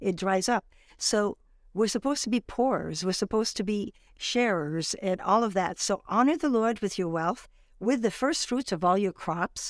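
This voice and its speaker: At a moderate pace, a woman with a French accent speaks with lively intonation in a dry, close sound with no echo, on a very clean recording with a silent background. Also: medium pitch for a woman, very even loudness. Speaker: guest, ministry speaker. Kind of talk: interview, religious talk.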